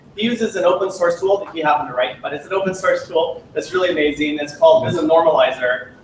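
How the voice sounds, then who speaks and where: This man talks very fast at a high pitch, with hardly any pauses, ordinary pitch variation and big swings in loudness. Noticeable background noise runs under his voice. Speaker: software product manager presenting to user group. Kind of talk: technical presentation. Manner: frequent fillers and restarts.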